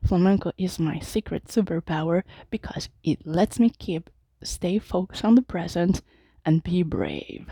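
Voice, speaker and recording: A woman at medium pitch speaks at a moderate pace in a dark, mellow tone, on a very clean recording with a silent background. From Mexico City. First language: Spanish. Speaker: Toastmasters club member. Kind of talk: prepared speech. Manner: halting at times.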